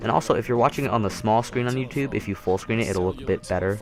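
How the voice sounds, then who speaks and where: The man's pitch varies in an ordinary way while noticeable background noise runs behind him. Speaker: Minecraft builder YouTuber. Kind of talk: casual gameplay commentary. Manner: fast; casual, filler-heavy.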